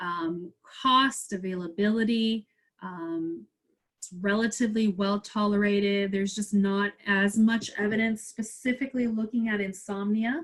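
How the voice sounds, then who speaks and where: A woman's somewhat breathy voice at a medium pitch and a moderate pace. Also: fairly even intonation. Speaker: pharmacist lecturer. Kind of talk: webinar Q&A.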